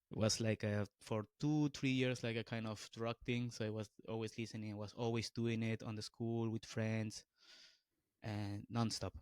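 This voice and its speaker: On a very clean, dry, close recording with no echo and a silent background, a man with a Peruvian accent speaks at a moderate pace and medium pitch in a flat monotone. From Peru, northern Lima. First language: Spanish. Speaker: beatboxer. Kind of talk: podcast interview. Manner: halting, many fillers and restarts.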